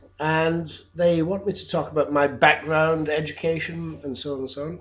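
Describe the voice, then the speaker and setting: Here a man with a British accent speaks with fairly even intonation. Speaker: English teacher. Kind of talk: video job application. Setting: home, in his flat. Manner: halting, many fillers.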